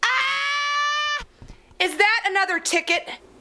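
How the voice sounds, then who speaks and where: Doing a put-on character voice, a woman speaks very slowly at an extremely high pitch for a woman with very wide pitch swings. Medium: short film.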